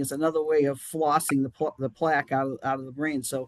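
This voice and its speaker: Over a quiet background, a man speaks fairly quickly with a Boston accent, the sound dry and close with no echo. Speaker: chairman of a charity action group. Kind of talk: live-streamed interview. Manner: halting, many restarts.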